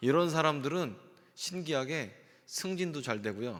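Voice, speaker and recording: In a room with audible echo, a man talks in an animated tone, his pitch swinging very widely. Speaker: pastor. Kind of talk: sermon.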